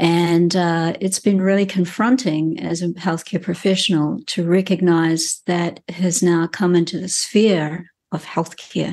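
Against a quiet background, a woman with a New Zealand accent speaks at a fairly slow pace and fairly low pitch, with fairly even intonation and hardly any pauses. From New Zealand, rural farming family. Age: 60s. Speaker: wellbeing coach and Chinese medicine practitioner. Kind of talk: interview conversation. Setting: in her clinic.

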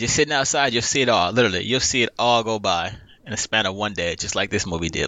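A man with an American accent talks at a very fast pace, his medium-pitched voice rising and falling in a lively way. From Los Angeles, South Central. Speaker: movie podcast guest. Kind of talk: casual chat.

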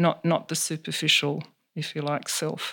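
A woman with an Australian accent speaks at a fairly slow pace and a fairly low pitch on a very clean recording with a silent background. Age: 60s. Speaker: counsellor. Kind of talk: interview. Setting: in her home.

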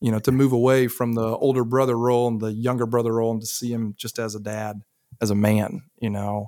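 With a Southern US accent, a man talks at a fairly quick pace and medium pitch in a very clean recording with a silent background. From US South. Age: 30s. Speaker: son of a recovery community member. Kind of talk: podcast interview, personal story. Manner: animated.

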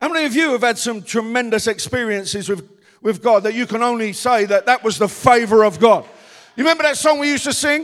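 An animated man at a very fast pace with ordinary pitch variation. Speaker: pastor. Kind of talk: sermon. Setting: church.

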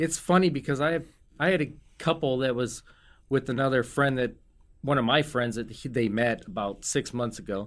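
In a very clean recording with a silent background, a man with an American accent uses a normal speaking voice at medium pitch and a moderate pace, with ordinary pitch variation. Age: 50s. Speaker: restaurant owner. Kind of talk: casual chat. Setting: studio.

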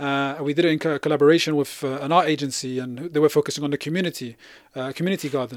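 A man with a London accent speaks at a very fast pace and a fairly high pitch. His intonation is fairly even, on a very clean recording with a silent background. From West London. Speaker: community organiser and researcher. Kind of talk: interview.

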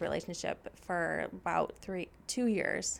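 A woman is speaking. She has an American accent. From US Midwest, Michigan. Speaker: church staff, ministry assistant. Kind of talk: casual interview.

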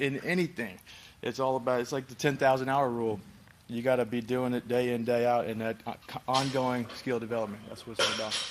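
The pace here is fairly quick, with fairly even intonation. It is an ordinary speaking voice. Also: man, medium pitch for a man. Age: 20s. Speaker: former pro football player. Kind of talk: casual interview.

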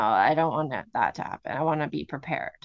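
This woman has a very deep, low pitch and vocal fry. Her pace is fairly quick. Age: 40s. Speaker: podcast co-host. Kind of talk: casual chat.

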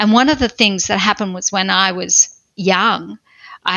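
A woman's medium-pitched voice with an Australian accent and ordinary pitch variation. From Australia, country Victoria. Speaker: pastor and author. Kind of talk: personal testimony interview.

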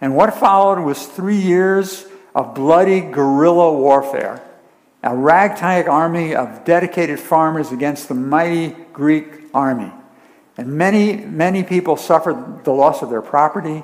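His high voice moves with ordinary pitch variation as the man speaks at a moderate pace. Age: 70s. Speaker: preacher. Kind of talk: sermon.

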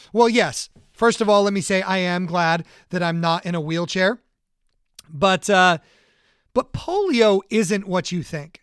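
A man with a high pitch, speaking at a fairly slow pace with long, frequent pauses, in a very clean recording with a silent background. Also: ordinary pitch variation, dry, close sound with no echo. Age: 40s. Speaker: podcast host. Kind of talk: solo podcast monologue.

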